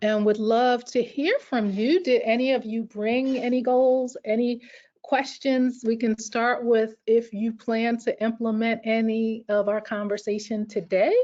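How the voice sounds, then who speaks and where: A plain, everyday voice: a woman with an American accent, fairly high pitch, fairly even intonation, a fairly slow pace and hardly any pauses. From New York. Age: 50s. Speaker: workshop presenter. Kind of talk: webinar presentation.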